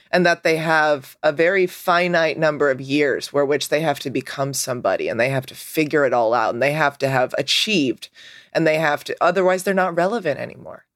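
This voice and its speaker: Speech runs at a fairly quick pace with hardly any pauses. The recording is very clean, with a silent background. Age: 30s. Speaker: podcast co-host. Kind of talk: casual chat.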